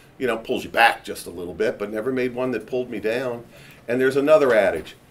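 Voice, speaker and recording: An ordinary speaking voice from a man, medium in pitch, with ordinary pitch variation. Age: 60s. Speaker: real estate company founder, panel moderator. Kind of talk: panel discussion talk.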